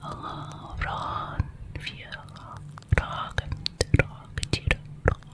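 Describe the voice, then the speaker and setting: Whispering at a very slow pace, the speaker is heard over noticeable background noise. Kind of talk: ASMR whisper for relaxation and sleep. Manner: soft, whispered, calming.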